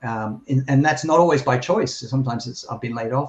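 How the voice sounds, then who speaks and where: A man with a somewhat breathy, medium-pitched voice talks fairly quickly, his pitch varying in an ordinary way. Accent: Australian. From Australia (Sydney). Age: 60s. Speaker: journalist and former sportscaster. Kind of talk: interview.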